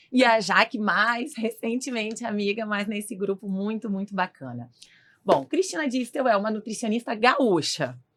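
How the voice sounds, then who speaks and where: A woman's fairly high voice, a normal speaking voice, at a fairly slow pace. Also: very clean recording, silent background. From southern Brazil, Rio Grande do Sul. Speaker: clinical nutritionist. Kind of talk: podcast interview.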